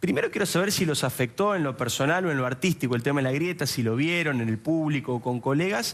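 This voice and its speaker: Talking at a very fast pace, a man with an Argentine accent uses lively intonation in a fairly high pitch. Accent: Argentine Spanish (Rioplatense). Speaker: journalist interviewer. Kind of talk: talk show interview.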